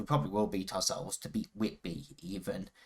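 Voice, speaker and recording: His delivery moves at a moderate speed. The man has an English accent. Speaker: football video game streamer. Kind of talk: gameplay commentary. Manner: casual, hesitant with fillers.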